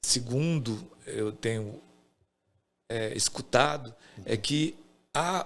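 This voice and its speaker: A man speaks very slowly, with long, frequent pauses. His pitch is medium, with ordinary variation. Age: 60s. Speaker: theatre director. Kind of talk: casual podcast interview. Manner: halting.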